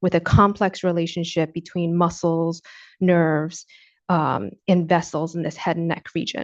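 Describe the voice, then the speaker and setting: A woman speaks with an American accent at a fairly low pitch. The background is quiet. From New York. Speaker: speech language pathologist. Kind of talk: lecture. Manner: fast.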